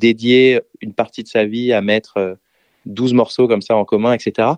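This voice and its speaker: The sound is dry and close, with no echo. The pace is fairly slow. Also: man. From France. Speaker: DJ and music producer. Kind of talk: interview.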